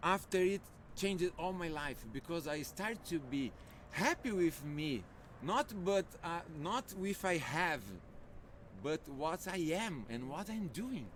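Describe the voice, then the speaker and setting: With a Brazilian Portuguese accent, the speaker talks at a fairly slow pace, using lively intonation and long, frequent pauses. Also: man, high pitch for a man. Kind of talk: casual chat. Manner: halting.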